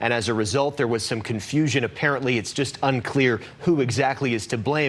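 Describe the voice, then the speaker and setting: Noticeable background noise accompanies fairly quick speech whose pitch varies in an ordinary way. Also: man. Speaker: news reporter. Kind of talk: live TV news report.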